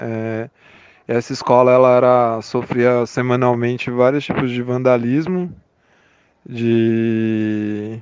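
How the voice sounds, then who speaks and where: The speech moves at a very slow pace. Intonation stays fairly even. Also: man, medium pitch for a man. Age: 30s. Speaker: school principal and political candidate. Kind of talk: interview.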